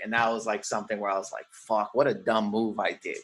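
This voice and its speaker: With an ordinary speaking voice, a man talks using lively intonation. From Windsor, Ontario, Canada. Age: 40s. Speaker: stand-up comedian and actor. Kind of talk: casual chat.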